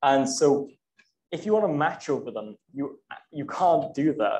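The speaker's intonation is lively. There is light background noise. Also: man. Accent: Welsh. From South Wales. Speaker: student lecturer. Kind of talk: lecture. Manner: halting. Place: classroom.

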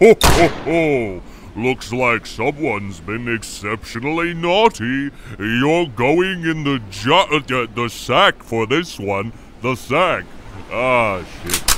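Amid clear background noise, a man does a put-on character voice at a medium pitch, speaking very slowly with very wide pitch swings.

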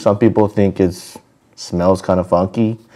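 At a moderate pace, a man speaks with a very deep, low pitch and a dark, mellow tone against a quiet background. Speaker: food vlogger. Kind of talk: casual vlog chat. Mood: cheerful, relaxed. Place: home room. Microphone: lapel.

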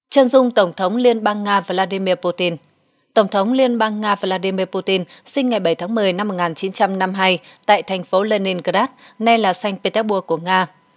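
This woman has a medium-pitched voice and an unremarkable speaking voice, speaking at a moderate pace with fairly even intonation in a dry, close sound with no echo. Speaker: news narrator. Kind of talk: news reading.

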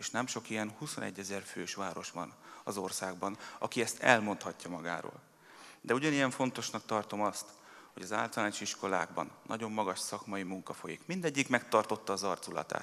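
Speaking at a moderate pace, a man uses a fairly low pitch with ordinary pitch variation. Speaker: mayor giving a speech. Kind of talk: formal public speech. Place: hall. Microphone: podium.

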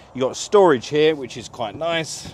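Delivery moves at a moderate pace with ordinary pitch variation. The sound is dry, with no echo. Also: man. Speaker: presenter. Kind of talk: casual walkthrough commentary. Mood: cheerful, joking. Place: waterside. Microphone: lapel.

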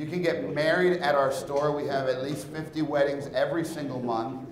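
Spoken at a moderate pace with fairly even intonation, the voice carries audible room echo over light background noise. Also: man. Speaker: conference presenter. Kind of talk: presentation talk. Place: hall. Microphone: lapel.

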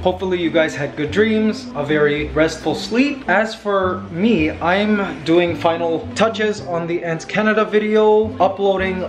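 Fairly slow speech from a man at a high pitch, with noticeable background noise. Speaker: vlogger. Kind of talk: casual vlog chat. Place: home room. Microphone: phone near.

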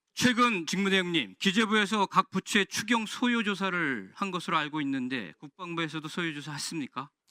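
A man's high-pitched, bright and sharp voice with lively intonation at a fairly quick pace. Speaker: lawmaker questioning an official. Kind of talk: parliamentary committee questioning. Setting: parliamentary committee hearing room.

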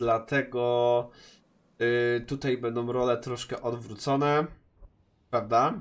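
The speech is very slow and monotone, with flat intonation and long, frequent pauses. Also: man, medium pitch for a man, very clean recording, silent background. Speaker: gaming youtuber. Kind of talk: casual vlog address to viewers. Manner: hesitant, many filler sounds.

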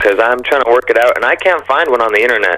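A man talks with ordinary pitch variation, and the background stays quiet. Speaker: radio caller. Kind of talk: casual call-in conversation.

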